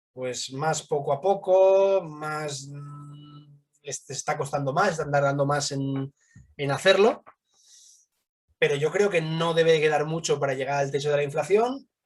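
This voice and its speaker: At a fairly slow pace, a somewhat breathy man speaks in a fairly high pitch with ordinary pitch variation. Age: 30s. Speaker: fund manager. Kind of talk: interview.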